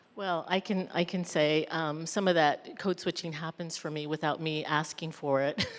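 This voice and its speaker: With an unremarkable speaking voice and an American accent, a woman talks at a moderate pace and a fairly low pitch, with fairly even intonation and hardly any pauses. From Mexican American community. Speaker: mental health professional. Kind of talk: panel discussion.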